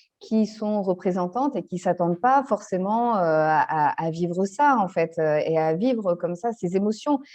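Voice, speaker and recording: In a plain, everyday voice, a woman speaks at a fairly slow pace and medium pitch, with lively intonation and hardly any pauses. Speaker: family constellations facilitator. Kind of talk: interview answer.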